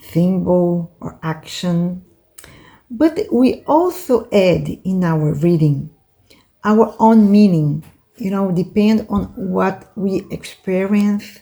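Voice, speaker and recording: A woman with a Brazilian Portuguese accent speaks at a very slow pace and medium pitch, somewhat breathy and dark and mellow in tone, with ordinary pitch variation. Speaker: oracle card reader and teacher. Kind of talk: lecture. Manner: halting, with many fillers.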